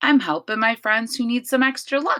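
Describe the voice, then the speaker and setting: A woman uses a put-on character voice at a high pitch, speaking at a moderate pace. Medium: read story. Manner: laid-back.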